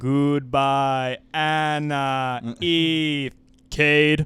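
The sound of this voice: Putting on a character voice, a man speaks at a fairly high pitch with monotone, flat intonation.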